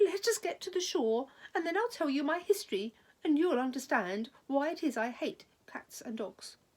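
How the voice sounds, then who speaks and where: A woman uses a put-on character voice, high-pitched and shaky. Her pitch swings very widely at a moderate pace. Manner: passionate, offended.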